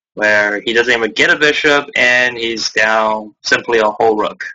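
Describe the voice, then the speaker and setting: Fairly slow male speech with fairly even intonation over music in the background. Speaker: chess streamer and teacher. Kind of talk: lecture. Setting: live stream from home. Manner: deliberately slower; hesitant, many fillers.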